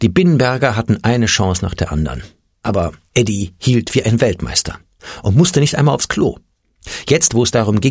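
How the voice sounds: A natural reading voice comes through with a quiet background behind it.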